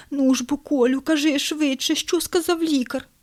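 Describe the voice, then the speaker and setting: In a put-on character voice, the speaker talks at a moderate pace with a high, shaky pitch. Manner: trembling, frightened.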